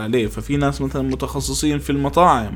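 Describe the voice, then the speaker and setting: A man talks at a moderate pace amid audible room echo and noticeable background noise. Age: 20s. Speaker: podcast host. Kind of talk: solo podcast monologue.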